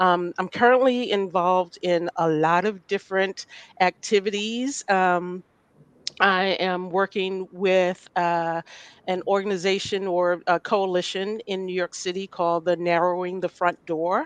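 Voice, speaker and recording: Speaking at a medium pitch with fairly even intonation, a woman has an ordinary speaking voice. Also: fairly slow pace, dry, close sound with no echo. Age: 60s. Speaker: lawyer and advocate. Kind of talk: panel discussion.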